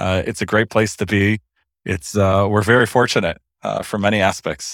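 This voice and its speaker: A man with an American accent speaks at a moderate pace in a fairly low pitch, with monotone, flat intonation. The sound is dry and close with no echo, in a very clean recording with a silent background. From US, Los Angeles. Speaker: lawyer. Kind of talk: interview.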